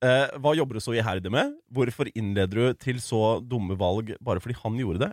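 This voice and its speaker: A man's plain, everyday voice at medium pitch, with ordinary pitch variation and a fairly quick pace, dry and close with no echo on a very clean recording with a silent background. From Larvik, Norway. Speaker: radio host and rapper. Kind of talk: casual chat. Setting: radio studio.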